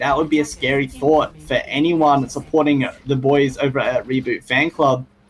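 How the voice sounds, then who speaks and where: Moderate pacing from a male speaker, noticeable background noise throughout. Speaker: esports caster. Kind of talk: live commentary. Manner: lowered voice, stealthy.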